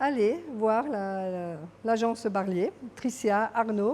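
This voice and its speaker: A woman's fairly high voice, dark and mellow in tone, with ordinary pitch variation. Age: 60s. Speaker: real estate client. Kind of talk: interview testimonial. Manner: hesitant, with fillers.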